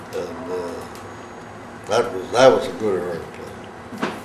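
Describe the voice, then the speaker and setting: This man, with an American accent, talks at a fairly low pitch and a fairly slow pace. The recording carries audible room echo and noticeable background noise. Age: 80s+. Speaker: war veteran. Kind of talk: talk to a school class. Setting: classroom. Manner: halting, many fillers.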